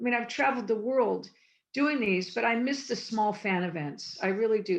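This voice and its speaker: A woman with an American accent talks at a fairly quick pace, her pitch medium and her intonation lively. Vocal fry runs through her voice. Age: 60s. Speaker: former TV production coordinator and convention guest. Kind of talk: interview.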